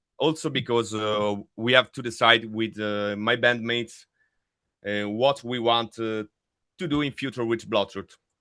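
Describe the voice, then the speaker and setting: A man with an Italian accent at medium pitch, speaking at a fairly slow pace with fairly even intonation. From Italy. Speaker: death metal vocalist. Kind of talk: interview. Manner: halting.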